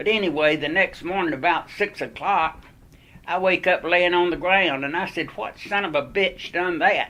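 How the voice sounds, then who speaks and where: A man speaks with a North Carolina accent at a moderate pace, pitched high with ordinary pitch variation. His tone is bright and sharp. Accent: Southern US (North Carolina). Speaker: war veteran. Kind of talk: oral history storytelling.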